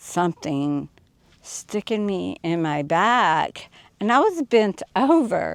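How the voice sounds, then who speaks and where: Very slow speech from a woman with a Southern US accent against a quiet background. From US South. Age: 60s. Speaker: off-grid desert resident. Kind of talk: interview. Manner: animated.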